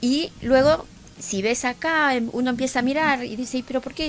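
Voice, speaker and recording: A woman with an Argentine accent, high pitch, ordinary pitch variation and a fairly slow pace, over light background noise. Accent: Rioplatense Argentine Spanish. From Zárate, Buenos Aires province, Argentina; Buenos Aires province, Argentina. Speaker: sommelier and winemaker; guest. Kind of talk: casual radio interview; interview answer. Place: studio. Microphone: studio mic.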